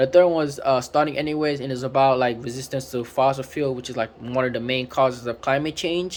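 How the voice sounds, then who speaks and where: Very fast and with hardly any pauses, a man speaks with a non-native accent. His pitch is medium and his intonation fairly even. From Africa. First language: not English. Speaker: book reviewer. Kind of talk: casual book review talk. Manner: halting, many fillers.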